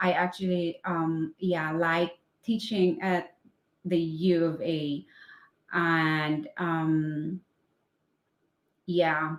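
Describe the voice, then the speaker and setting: A woman with a Filipino accent speaks very slowly in a fairly low, monotone voice with flat intonation. She leaves long, frequent pauses. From Philippines. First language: Filipino language. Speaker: English teacher. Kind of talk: casual live stream chat. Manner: halting, many fillers.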